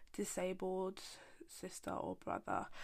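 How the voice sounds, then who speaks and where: This woman's medium-pitched voice stays monotone and flat as she talks at a very slow pace. The recording is very clean, with a silent background. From UK, Somali community. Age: 20s. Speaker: podcast host, sibling carer. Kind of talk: casual chat.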